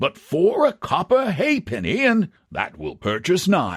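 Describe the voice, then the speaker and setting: Speaking at a fairly slow pace, the speaker mumbles in a put-on character voice. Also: man, very clean recording, silent background. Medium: read story. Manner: slow, mild, muttering and mumbling.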